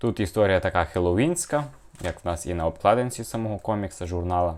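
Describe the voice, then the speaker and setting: Fairly quick in pace, an unremarkable speaking voice carries ordinary pitch variation. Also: man. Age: 20s. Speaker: YouTuber, comic collector. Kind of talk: casual video review.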